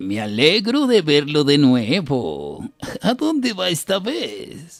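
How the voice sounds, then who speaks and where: Over music in the background, a man puts on a character voice. He speaks at a very slow pace with a fairly high pitch. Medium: read story. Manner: affable.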